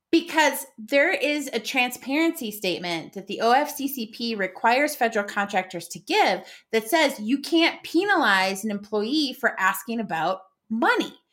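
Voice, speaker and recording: On a very clean recording with a silent background, a woman speaks at a moderate pace in a fairly high pitch, with very wide pitch swings and big swings in loudness. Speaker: podcast co-host, employment lawyer/HR expert. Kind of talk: casual chat. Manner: giggly.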